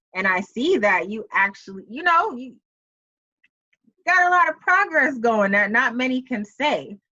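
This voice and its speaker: With a New York accent, a woman speaks high-pitched in a bright, sharp tone at a fairly slow pace, with very wide pitch swings, big swings in loudness and long, frequent pauses. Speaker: talk show host. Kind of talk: interview. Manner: casual, enthusiastic.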